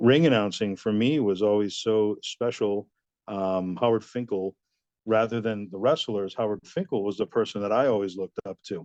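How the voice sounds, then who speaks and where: In a dry, close recording with no echo and a quiet background, a man with a plain, everyday voice speaks at a moderate pace and fairly low pitch with ordinary pitch variation. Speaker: ring announcer, wrestling promoter. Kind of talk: interview answer.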